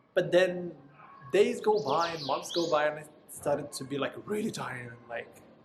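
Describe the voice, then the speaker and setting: Speaking at a moderate pace with a non-native accent, a man with a high pitch uses lively intonation and big swings in loudness over noticeable background noise. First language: not English. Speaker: vlogger, former call center agent. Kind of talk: casual monologue.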